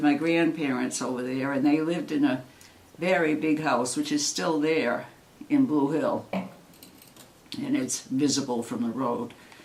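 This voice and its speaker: A woman's very deep, low voice at a fairly slow pace, with audible room echo and noticeable background noise. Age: 70s. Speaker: retired teacher. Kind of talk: family interview.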